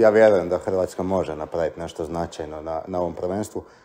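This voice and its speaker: A man speaks in an ordinary speaking voice at a moderate pace with ordinary pitch variation. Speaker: podcast host. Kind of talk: casual interview.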